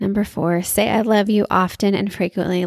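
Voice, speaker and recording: On a very clean recording with a silent background, a woman talks. She keeps a moderate pace and medium pitch. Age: 30s. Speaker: podcast host. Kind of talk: casual solo chat.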